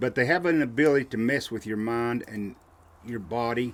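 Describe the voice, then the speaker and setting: A medium-pitched male voice with a Southern US accent. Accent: Southern US rural. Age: 60s. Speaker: outdoorsman and podcast guest. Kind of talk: casual chat, storytelling.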